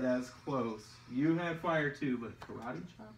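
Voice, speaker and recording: A man's lively intonation at a fairly slow pace, with audible room echo and light background noise. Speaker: video host. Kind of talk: casual talk to camera. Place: home room. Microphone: camera far.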